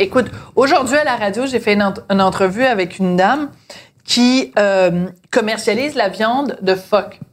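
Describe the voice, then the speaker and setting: A woman with a plain, everyday voice speaks at a moderate pace, her pitch fairly high and its variation ordinary. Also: very even loudness. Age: 50s. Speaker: podcast host. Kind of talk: casual chat. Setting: at home dinner.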